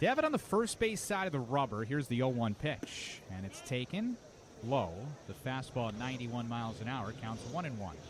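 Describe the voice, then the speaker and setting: He is a man with an unremarkable speaking voice at a medium pitch. His intonation is lively. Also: fairly quick pace. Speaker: baseball radio play-by-play announcer. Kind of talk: baseball radio play-by-play call.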